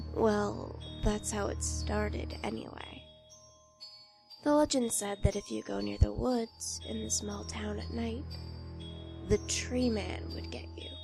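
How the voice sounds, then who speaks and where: Music plays in the background as a woman with a very deep, low pitch speaks at a fairly slow pace, with ordinary pitch variation, big swings in loudness and long, frequent pauses. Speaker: creepypasta narrator. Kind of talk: horror story narration.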